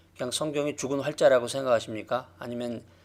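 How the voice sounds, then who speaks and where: A man with an ordinary speaking voice talks at a fairly quick pace and a medium pitch, his pitch varying in an ordinary way. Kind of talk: lecture. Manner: measured, with filler pauses.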